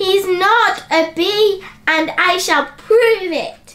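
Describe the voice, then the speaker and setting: This voice is a put-on character. It moves at a very slow pace. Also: woman, extremely high pitch for a woman. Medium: read story.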